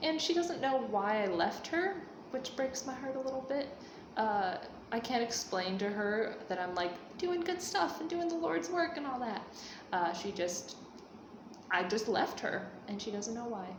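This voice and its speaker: Amid noticeable background noise and an audible room echo, a woman with an American accent speaks at a moderate pace in a fairly high pitch with very wide pitch swings. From United States. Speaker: vlogger. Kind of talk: casual Q&A vlog. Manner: casual, many fillers.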